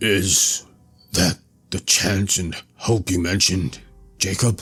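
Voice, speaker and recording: A man speaks in a put-on character voice that is very deep and raspy, with fairly even intonation and a fairly slow pace over faint background music. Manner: faltering, hesitant.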